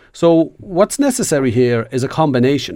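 Lively intonation carries a dark, mellow tone. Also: man. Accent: Irish. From Ireland, Dundalk. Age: 40s. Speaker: trade unionist. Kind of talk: panel discussion.

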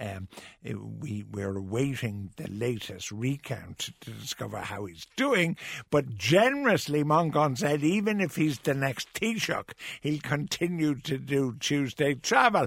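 On a very clean recording with a silent background, a man speaks at a fairly slow pace in a fairly high pitch. His pitch swings very widely, and his loudness swings a lot. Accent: Irish. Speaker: radio host. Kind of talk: casual chat.

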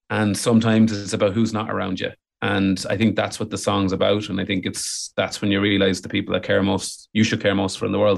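In an Irish accent, a man talks at a fairly quick pace with hardly any pauses, his fairly low voice flat and monotone, with vocal fry. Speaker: musician and podcaster. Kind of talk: casual chat.

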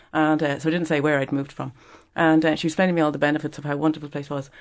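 With a Dublin accent, a woman talks at a very fast pace in a very deep, low pitch, the background quiet. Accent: Dublin Irish. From Ireland, Dublin. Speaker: business founder and exporters' association president. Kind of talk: radio panel discussion. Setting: radio studio.

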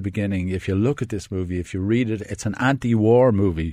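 With an Irish accent, a man speaks at a fairly low pitch with ordinary pitch variation. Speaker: film critic. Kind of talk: casual chat. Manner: enthusiastic.

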